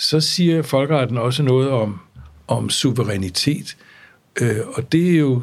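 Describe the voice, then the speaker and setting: Very slowly, a man talks at a medium pitch with ordinary pitch variation. His voice is somewhat breathy. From grew up abroad in various countries (diplomat's child). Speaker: law professor and former international judge. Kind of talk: interview, relaxed academic conversation. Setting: studio.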